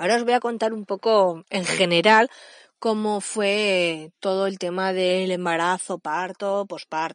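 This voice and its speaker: In a quiet background with a dry, close sound and no echo, a woman at medium pitch talks at a fairly slow pace with fairly even intonation. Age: 30s. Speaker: podcast host, mother and early childhood educator. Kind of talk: personal podcast monologue. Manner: halting, with frequent repetitions and fillers.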